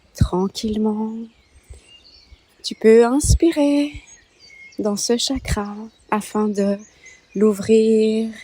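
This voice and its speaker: At a very slow pace with long, frequent pauses, a woman speaks in a calm tone, her somewhat breathy voice dark and mellow, fairly high in pitch, with ordinary pitch variation. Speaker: meditation guide. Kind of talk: guided meditation. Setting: birdsong in background. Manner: slow, calm.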